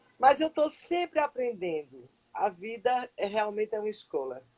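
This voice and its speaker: Her fairly high pitch swings very widely as a woman speaks in a dark, mellow tone, recorded with a dry, close sound and no echo. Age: 60s. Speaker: psychologist. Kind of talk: live stream interview. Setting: online live stream.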